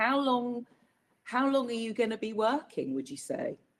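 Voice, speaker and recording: Lively intonation and a bright, sharp tone mark this voice with a British accent. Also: woman. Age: 60s. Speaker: webinar panel host. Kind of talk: panel discussion. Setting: online webinar.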